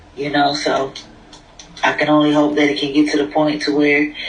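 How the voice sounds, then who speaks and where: A man with a fairly high voice talks while noticeable noise carries on in the background. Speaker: prison reform advocate. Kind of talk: casual chat. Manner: soft-spoken.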